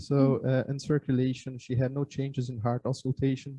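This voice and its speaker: In a Brazilian accent, a man speaks at a medium pitch with a somewhat breathy voice and monotone, flat intonation. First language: Portuguese. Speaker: surgery resident. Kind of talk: medical case presentation. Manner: halting, frequent filler sounds.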